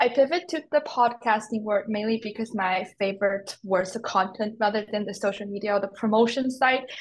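With a Mandarin accent, a woman talks at a moderate pace and fairly high pitch, somewhat breathy, with ordinary pitch variation and hardly any pauses. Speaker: podcast host. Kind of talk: interview.

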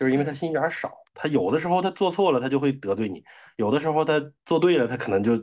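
Speaking at a very fast pace with lively intonation, a man with a fairly high pitch is heard over a quiet background. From Northeast China, Daqing. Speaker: podcast guest. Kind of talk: casual chat.

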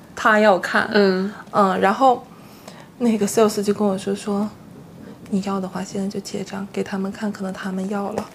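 Over noticeable background noise, the speaker holds a monotone, flat intonation at a moderate pace. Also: woman, medium pitch for a woman. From Northeast China, Harbin. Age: 30s. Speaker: blogger and former full-time housewife. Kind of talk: casual interview chat.

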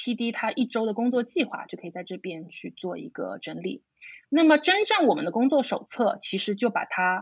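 The speaker is a woman. She keeps a moderate pace. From Shanghai, China. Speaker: video brand founder. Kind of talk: casual interview. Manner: halting with fillers.

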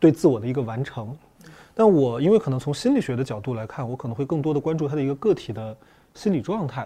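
Speaking very fast with lively intonation, a man has a dark, mellow, somewhat breathy tone at a fairly high pitch, against a quiet background. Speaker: psychological counselor. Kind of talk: panel discussion on a film.

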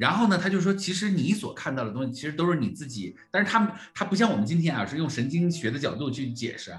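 Over noticeable background noise, a man rattles on at a very fast pace with hardly any pauses, his fairly high voice making very wide pitch swings. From Northeast China (Jilin). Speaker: coach trainer and podcast host. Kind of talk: livestreamed co-hosted discussion of a report. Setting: livestream with online audience. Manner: fillers and repetitions.

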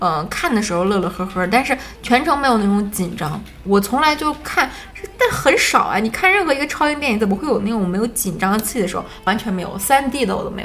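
Over noticeable background noise, a woman with a fairly high pitch and lively intonation speaks at a very fast pace. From Harbin, northeast China. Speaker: film podcast host. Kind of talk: casual chat.

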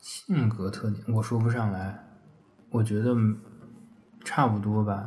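A somewhat breathy man, fairly low in pitch, at a very slow pace with fairly even intonation and long, frequent pauses. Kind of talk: casual chat.

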